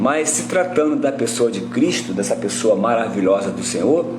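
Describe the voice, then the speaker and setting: A man's voice over music in the background, with audible room echo. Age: 60s. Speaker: Bible teacher. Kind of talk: livestream Bible teaching. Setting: live stream. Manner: halting, many fillers.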